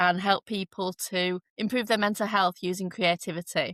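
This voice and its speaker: In a Yorkshire accent, the voice comes through with a dry, close sound with no echo on a very clean recording with a silent background. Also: woman. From northern England, Leeds, Yorkshire. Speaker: art therapist and artist. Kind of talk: podcast interview. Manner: hesitant, with fillers.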